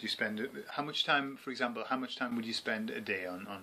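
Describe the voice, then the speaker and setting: He has a British accent. He talks at a moderate speed. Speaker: English teacher. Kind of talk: podcast interview questions.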